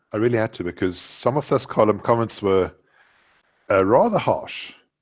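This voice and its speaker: A man with a South African accent speaks at a medium pitch and a fairly quick pace in a very clean recording with a silent background. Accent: South African, noticeable. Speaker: Java programmer and author. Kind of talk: podcast interview. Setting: podcast recording. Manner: animated.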